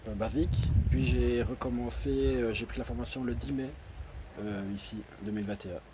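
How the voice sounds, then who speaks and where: Speaking with a Liège accent at a very deep, low pitch, a man talks at a fairly slow pace with very wide pitch swings, and there is noticeable background noise. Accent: Belgian (Liège) French. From Belgium, Liège. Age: 20s. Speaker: e-commerce student, postal worker. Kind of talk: testimonial interview. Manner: hesitant, many fillers.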